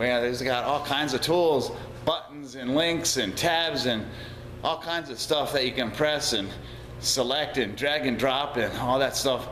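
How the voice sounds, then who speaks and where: A man speaks at a fairly slow pace in a fairly high voice. Noticeable background noise and audible room echo are present. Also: ordinary pitch variation. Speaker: auto repair business owner and vlogger. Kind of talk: video blog monologue. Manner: hesitant, repeats words.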